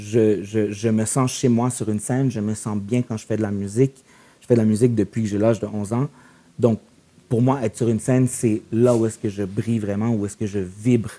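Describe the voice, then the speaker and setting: Fairly quick and fairly low, a man's dark, mellow voice stays monotone and flat. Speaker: musician and performer. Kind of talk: casual podcast chat. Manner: code-switches French and English.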